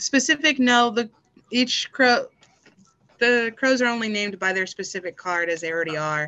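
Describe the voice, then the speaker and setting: An American accent marks this woman's bright, sharp tone as she speaks at a moderate pace in a fairly high pitch with lively intonation. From Texas, El Paso. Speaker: psychic and tarot reader. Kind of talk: casual interview.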